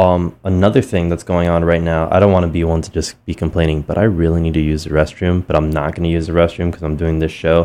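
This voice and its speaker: A man's very deep, low pitch in a dark, mellow tone, very fast with hardly any pauses, fairly even in intonation, against a quiet background. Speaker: radio DJ. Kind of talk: casual radio DJ talk between songs. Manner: relaxed, conversational with many fillers.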